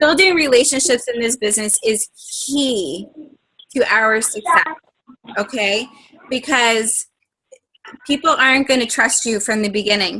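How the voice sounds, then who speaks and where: A high-pitched woman speaks at a fairly slow pace with lively intonation and long, frequent pauses. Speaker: health and fitness coach leading team training. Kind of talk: coaching training call. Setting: conference call, recorded.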